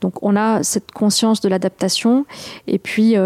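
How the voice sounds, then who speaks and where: A woman's dark, mellow voice, monotone and flat, at a very slow pace, with a dry, close sound with no echo. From southern France, near Toulouse. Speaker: ultra-distance runner and explorer. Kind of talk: radio interview.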